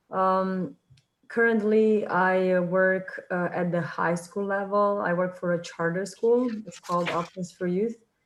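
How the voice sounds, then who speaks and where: A woman with a Romanian accent, medium pitch, a fairly slow pace and fairly even intonation. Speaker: high school teacher. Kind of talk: self-introduction in online meeting. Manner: halting, many fillers.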